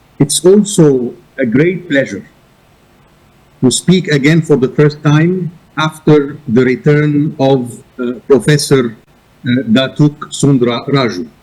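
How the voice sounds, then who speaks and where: Speaking at a very slow pace, a man with a somewhat breathy, fairly high voice uses ordinary pitch variation. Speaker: arbitration institution director. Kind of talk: conference presentation.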